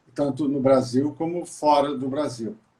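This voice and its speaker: The pitch of this man is fairly high. He talks at a fairly slow pace. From Brazil, Maringá (Paraná). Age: 60s. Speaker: visual artist. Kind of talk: casual interview. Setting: live video call.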